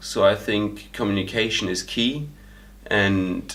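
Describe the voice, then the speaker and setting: Vocal fry runs through a man's fairly low-pitched voice as he speaks in a German accent with fairly even intonation. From Germany. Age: 20s. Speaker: volunteer. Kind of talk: interview testimony. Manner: hesitant, many fillers.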